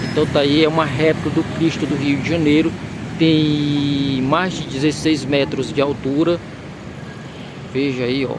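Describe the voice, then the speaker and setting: A man speaks slowly in a fairly high, monotone, flat voice, leaving long, frequent pauses. Audible room echo and noticeable background noise fill the recording. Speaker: video tour guide. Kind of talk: guided tour vlog. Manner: halting, many restarts.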